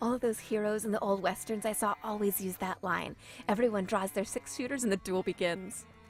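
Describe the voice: Someone reads aloud. The reading is plain.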